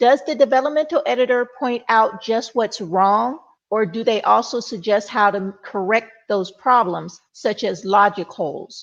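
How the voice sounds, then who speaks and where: A woman with a Mississippi accent talks fairly slowly, with hardly any pauses. Her voice is fairly high, and her pitch varies in an ordinary way. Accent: Southern US (Mississippi). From US South, Mississippi. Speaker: panel moderator. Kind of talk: panel moderation.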